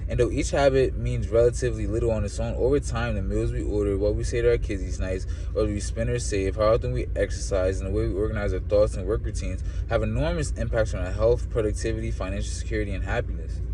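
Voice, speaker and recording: A man races along at a very fast pace with hardly any pauses. Audible room echo and noticeable background noise surround him. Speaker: book reader and commentator. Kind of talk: reading aloud with commentary. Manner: stumbling reading; casual, filler-heavy.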